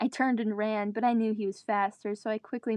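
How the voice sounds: The speech comes in a natural reading voice.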